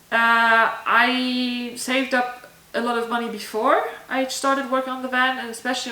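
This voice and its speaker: Here a woman speaks with a German accent. Noticeable background noise and audible room echo fill the recording. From southern Germany. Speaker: vlogger. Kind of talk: casual Q&A vlog. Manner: casual, with fillers.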